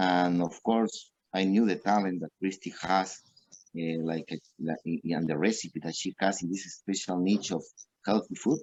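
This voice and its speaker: A man speaks with a Peruvian accent and a very deep, low pitch. His intonation stays fairly even. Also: moderate pace. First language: Spanish. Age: 40s. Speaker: restaurant owner. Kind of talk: interview. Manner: halting.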